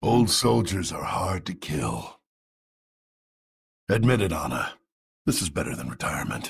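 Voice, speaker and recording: Using a put-on character voice, a man with a very deep, low pitch swings very widely in pitch and leaves long, frequent pauses. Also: moderate pace. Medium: video game. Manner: gruff.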